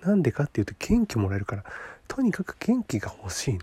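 This voice is somewhat breathy, with a dark, mellow tone. It races at a very fast pace through very wide pitch swings. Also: man. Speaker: podcast host. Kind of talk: solo monologue talk to listeners. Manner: stumbling over words; casual, rambling.

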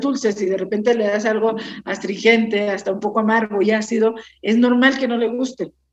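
A woman's plain, everyday voice, fairly high in pitch, at a moderate pace. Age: 60s. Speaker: winemaker. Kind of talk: casual interview chat.

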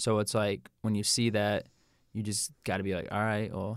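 In a very clean recording with a silent background, a man with a normal speaking voice talks at a fairly low pitch with fairly even intonation. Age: 20s. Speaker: strength and conditioning coach. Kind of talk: casual chat.

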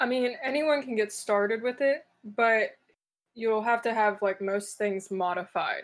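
A woman's normal speaking voice with an American accent, fairly high pitch and ordinary pitch variation. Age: 20s. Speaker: college student and CrossFit athlete. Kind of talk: casual interview.

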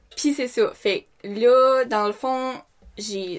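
A woman with a Quebec accent and lively intonation, on a very clean recording with a silent background. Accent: Québécois French. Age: 20s. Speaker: care attendant. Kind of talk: casual chat.

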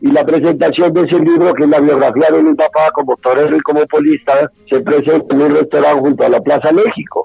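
Hardly pausing, a man talks at a fairly quick pace with a fairly high pitch, very even loudness and fairly even intonation. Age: 60s. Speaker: bullfighting manager and former novice bullfighter. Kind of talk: interview. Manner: halting.

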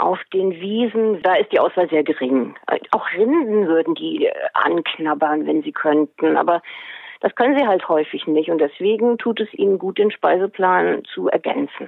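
A woman has a normal speaking voice at a medium pitch. Her intonation is lively and her pace fairly slow. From Hesse, Germany. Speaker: book author and animal naturopath. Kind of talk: interview.

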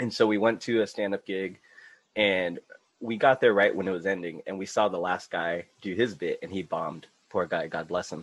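A man speaks at a moderate pace in an ordinary speaking voice, fairly low in pitch, with fairly even intonation. The background is quiet. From US, Filipino and Mexican heritage. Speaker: podcast guest. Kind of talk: casual chat.

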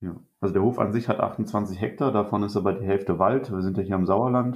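A man's fairly low, ordinary speaking voice at a moderate pace, with ordinary pitch variation. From Germany, Rhineland-Palatinate. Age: 20s. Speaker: organic farmer and agriculture student. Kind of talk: podcast interview.

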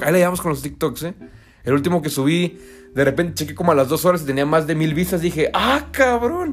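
A man with a high pitch talks at a fairly quick pace in an animated tone with lively intonation. The recording is very clean, with a silent background. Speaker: football pundit. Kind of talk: casual commentary; scripted narration.

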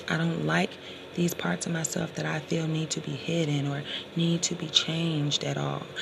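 A woman keeps a moderate pace while noticeable background noise sounds in the background. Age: 30s. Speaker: motivational podcaster. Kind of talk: motivational monologue.

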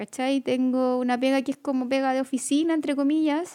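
A woman with a Chilean accent speaks at a moderate pace, her high voice dark and mellow in tone. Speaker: podcast co-host. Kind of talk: casual chat.

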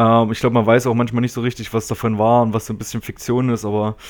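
A man speaks in a monotone with flat intonation. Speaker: podcast co-host. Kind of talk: casual chat.

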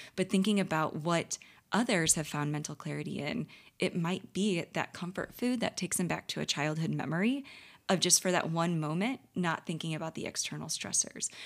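Fairly quick talk from a woman with a Midwestern American accent, fairly low in pitch, with ordinary pitch variation. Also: very clean recording, silent background. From St. Louis, Missouri, US. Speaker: dietitian. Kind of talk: casual interview. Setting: conference.

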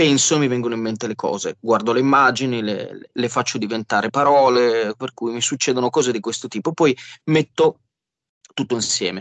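A man speaks at medium pitch and a fairly quick pace, in an unremarkable speaking voice. The sound is dry and close, with no echo. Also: ordinary pitch variation. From Genoa, Liguria, Italy. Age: 40s. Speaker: musician. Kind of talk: interview.

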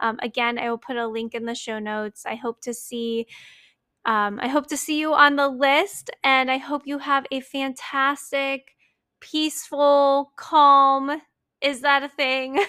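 In a very clean recording with a silent background, a woman with a high pitch uses a raised, projected voice at a fairly slow pace with ordinary pitch variation. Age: 30s. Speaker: podcast host. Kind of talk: casual monologue.

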